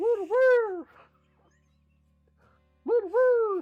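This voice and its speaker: Over background music, a put-on character voice comes through squeaky and extremely high-pitched. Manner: carrying over noise.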